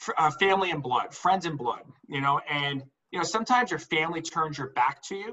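Speaking with a New Jersey accent, a man uses a fairly high pitch at a moderate pace, with ordinary pitch variation. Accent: New Jersey American. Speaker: entrepreneur and business consultant. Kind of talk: live group discussion call. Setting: group call. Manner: animated.

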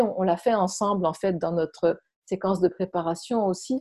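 A dark, mellow tone carries fairly even intonation at a moderate pace, with a dry, close sound with no echo. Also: woman. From France. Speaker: movement and voice workshop leader. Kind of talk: interview. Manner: halting.

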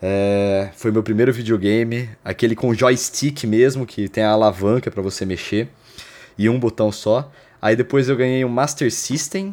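A man speaks in a normal speaking voice, at medium pitch and a moderate pace, with ordinary pitch variation. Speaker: podcast co-host. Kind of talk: casual chat. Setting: remote recording, not in the same place.

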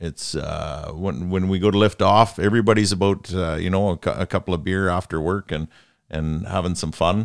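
With a Canadian accent, a man talks at a moderate pace in a very deep, low voice with fairly even intonation, on a very clean recording with a silent background. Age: 40s. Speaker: helicopter pilot. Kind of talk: casual chat. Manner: halting.

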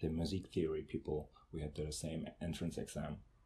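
A man speaks at a moderate pace with a German accent. His tone is dark and mellow, a bit breathy, with fairly even intonation. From Germany, Lübeck. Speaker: conducting student. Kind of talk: casual interview.

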